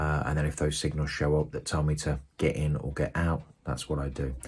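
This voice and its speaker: Soft-spoken, a man with a British accent talks at a very deep, low pitch in a monotone, flat intonation. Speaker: forex trader vlogger. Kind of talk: casual video diary. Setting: at home. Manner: hesitant with fillers.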